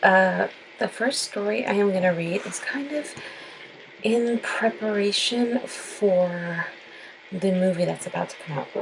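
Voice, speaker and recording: Against noticeable background noise, a woman speaks at a fairly slow pace with long, frequent pauses. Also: medium pitch for a woman, ordinary pitch variation. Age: late 20s to 30s. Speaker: horror storyteller. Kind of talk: casual talk to camera.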